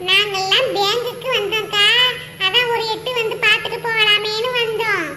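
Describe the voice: A cartoonish character voice at a fairly slow pace. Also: woman, extremely high pitch for a woman.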